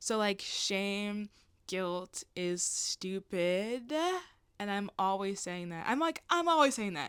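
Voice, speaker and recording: A woman's medium-pitched voice at a very slow pace, with lively intonation, on a very clean recording with a silent background. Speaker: YouTuber. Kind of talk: casual monologue vlog. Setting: solo video recording. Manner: rambling, casual.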